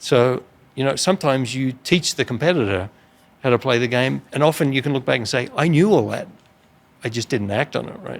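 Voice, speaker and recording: Speaking at a fairly quick pace with an Australian accent, a man uses a medium pitch with ordinary pitch variation. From rural Australia. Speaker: business executive. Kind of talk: interview.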